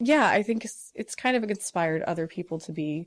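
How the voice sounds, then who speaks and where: The recording is very clean with a silent background. A woman with a Midwestern American accent speaks at a fairly quick pace with ordinary pitch variation. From US Midwest (northern Indiana). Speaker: aerial artist and drag performer. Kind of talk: casual interview.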